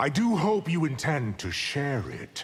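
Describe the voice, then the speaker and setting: A man puts on a character voice pitched fairly high. His pitch swings very widely as he talks at a fairly slow pace. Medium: video game. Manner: smooth, arrogant, condescending.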